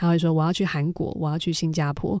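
Talking at a very fast pace, a woman has a fairly low pitch and a dark, mellow tone. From Taiwan. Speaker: founder of a civic digital diplomacy association. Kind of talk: interview.

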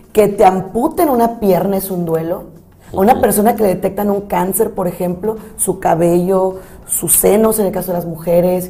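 A woman speaks at a moderate pace with a medium pitch. Noticeable background noise runs underneath. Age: 40s. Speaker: psychologist and thanatologist. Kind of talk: casual chat. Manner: animated.

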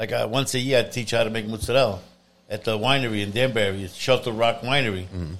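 A man at a medium pitch, very fast pace and fairly even intonation. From Italy. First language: Italian. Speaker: pizzeria and food shop owner. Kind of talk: casual interview chat.

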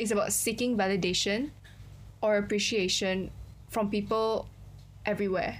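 Amid audible room echo, a woman with a medium-pitched voice and vocal fry speaks at a moderate pace. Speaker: podcast co-host. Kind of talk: casual chat.

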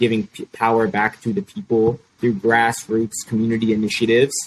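This man has an American accent and a medium pitch. He talks at a moderate pace with monotone, flat intonation. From Chicago. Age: 20s. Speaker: youth activist, nonprofit founder. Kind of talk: interview.

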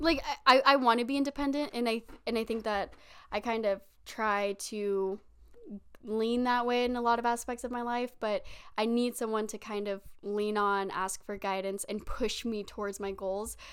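A woman with a fairly high pitch talks at a moderate pace in an ordinary speaking voice, her intonation fairly even, on a very clean recording with a silent background. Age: 20s. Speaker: podcast co-host. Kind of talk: casual chat. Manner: laughs often.

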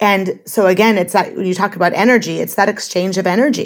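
Speaking at a moderate pace with fairly even intonation, a woman has an ordinary speaking voice pitched in the medium range. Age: 40s. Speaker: life coach guest, former hospitality worker. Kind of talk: casual interview.

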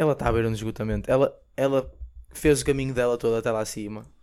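A man with a medium-pitched voice speaks at a fairly quick pace, keeping his intonation fairly even. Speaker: podcast co-host. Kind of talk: casual chat.

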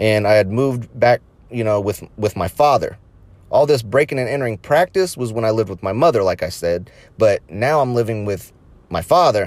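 A man with an unremarkable speaking voice talks at medium pitch. His pace is fairly quick and his intonation lively. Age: 30s. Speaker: podcast host. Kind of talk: casual monologue.

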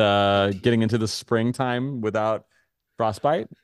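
Against a quiet background, a man with an unremarkable speaking voice talks fairly slowly at a fairly low pitch, his intonation fairly even. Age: 30s. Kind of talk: casual chat. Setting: video call.

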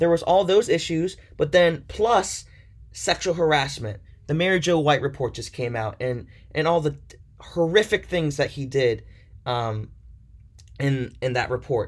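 A man with an American accent speaks at a fairly high pitch and a moderate pace. His somewhat breathy voice has an animated tone and lively intonation. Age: 20s. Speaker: sports podcaster. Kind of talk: solo podcast monologue.

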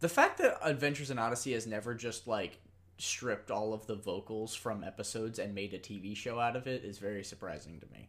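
Shouting at a very fast pace, the speaker shows big swings in loudness. The pitch varies in an ordinary way. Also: man, medium pitch for a man. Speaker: podcast host. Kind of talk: casual chat, episode discussion. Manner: loud, can yell.

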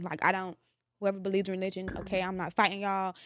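Talking at a very fast pace, a woman is heard. Her pitch is medium. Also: very clean recording, silent background. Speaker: podcast co-host. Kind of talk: casual discussion.

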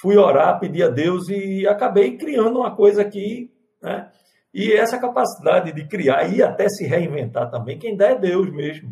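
This man has a high pitch and a dark, mellow tone, and his intonation is lively. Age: 50s. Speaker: pastor. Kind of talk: panel discussion.

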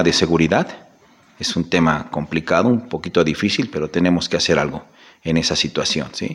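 A man talks with very wide pitch swings. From Mexico, Zacatelco, Tlaxcala. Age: 40s. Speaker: municipal political candidate, accountant. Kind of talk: interview. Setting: studio.

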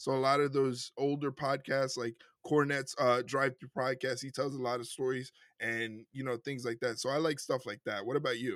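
A man talks with a New York accent at a medium pitch. His intonation is monotone and flat. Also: moderate pace. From New York City, Puerto Rican family. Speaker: wrestling podcast co-host. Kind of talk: casual chat.

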